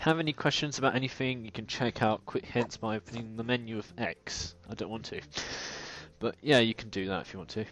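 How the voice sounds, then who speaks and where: A man with a British accent at a fairly quick pace, with big swings in loudness over a quiet background. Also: medium pitch for a man, ordinary pitch variation. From Britain. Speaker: let's play gamer. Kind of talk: casual gameplay commentary.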